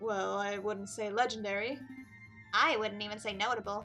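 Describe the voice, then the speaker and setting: A woman does a put-on character voice with a rumbling, medium-pitched sound and fairly even intonation. She keeps a moderate pace while clear music plays in the background. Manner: modest, self-deprecating.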